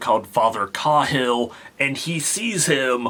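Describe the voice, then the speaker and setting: With ordinary pitch variation and a fairly slow pace, it is a plain, everyday voice. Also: man. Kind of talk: folklore storytelling talk to camera. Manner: casual, conversational.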